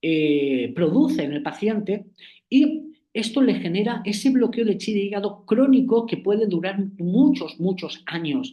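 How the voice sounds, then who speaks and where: This man's voice is pitched high. The tone is dark and mellow. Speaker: acupuncture professor. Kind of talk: online lecture. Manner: hesitant, many fillers.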